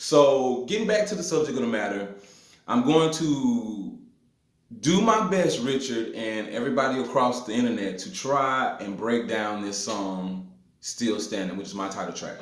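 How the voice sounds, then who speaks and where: A man's voice with very wide pitch swings, big swings in loudness and audible room echo. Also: medium pitch for a man, moderate pace. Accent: Mississippi. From US South, north Mississippi hill country. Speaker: blues guitarist. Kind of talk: guitar tutorial. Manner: casual with filler words.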